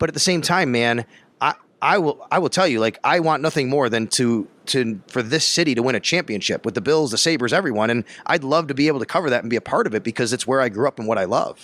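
A man with an American accent and a medium-pitched voice, very fast and lively in intonation, in a dry, close sound with no echo. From Buffalo, Western New York. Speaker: sports radio reporter. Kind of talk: interview. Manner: animated.

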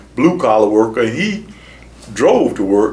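A man's voice with noticeable background noise. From Sarasota, Florida. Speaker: community activist and former city commissioner. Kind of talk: oral history interview.

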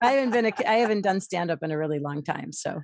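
A woman with an American accent talks with vocal fry. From Michigan. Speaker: author and comedian. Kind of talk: interview. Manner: halting.

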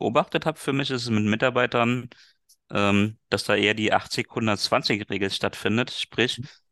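Speaking at a fairly slow pace, a man with a bright, sharp tone keeps a medium pitch and fairly even intonation, recorded dry and close with no echo. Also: quiet background. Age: 30s. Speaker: business coach and former sales manager. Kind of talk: interview.

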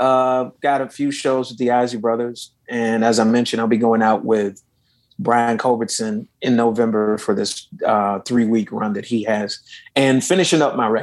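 A man with an American accent has an ordinary speaking voice, medium in pitch, moderate in pace, with fairly even intonation. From Los Angeles, US. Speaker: saxophonist and singer. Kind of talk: interview.

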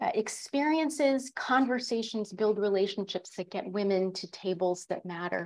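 In a normal speaking voice with an American accent, the speaker moves at a fairly slow pace with ordinary pitch variation on a very clean recording over a silent background. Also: woman. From Connecticut, US. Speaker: leadership coach and executive. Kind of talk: interview.

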